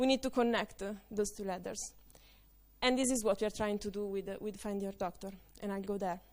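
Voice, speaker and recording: Speaking at a very fast pace with fairly even intonation, a woman with an Italian accent is heard on a very clean recording with a silent background. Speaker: conference speaker. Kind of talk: conference talk. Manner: halting, many fillers.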